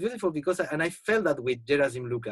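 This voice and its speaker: Somewhat breathy, a man with a Spanish accent talks fairly quickly, his pitch swinging very widely. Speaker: poet. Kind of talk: casual chat. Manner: halting.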